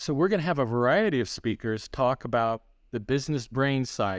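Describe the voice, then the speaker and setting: A man with a plain, everyday voice and medium pitch speaks at a moderate pace with lively intonation, on a very clean recording with a silent background. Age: 60s. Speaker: church leadership consultant. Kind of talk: podcast interview.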